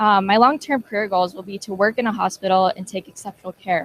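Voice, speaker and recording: In a normal speaking voice with an American accent, the speaker talks at a fairly quick pace, and the sound is dry and close with no echo. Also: woman. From Colorado. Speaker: community college student. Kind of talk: testimonial speech.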